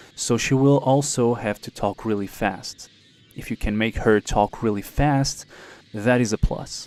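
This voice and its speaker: Over music in the background, a man talks at a fairly slow pace with a dry, close sound and no echo. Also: medium pitch for a man, fairly even intonation. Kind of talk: casual talk to camera. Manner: hesitant.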